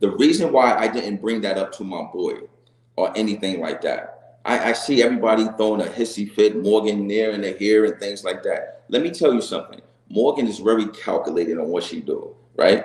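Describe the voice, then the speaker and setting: A man talks at a fairly quick pace with a New York accent. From New York, Long Island (Hempstead). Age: 40s. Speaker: reality TV contestant. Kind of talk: interview. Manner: casual, repetitive fillers.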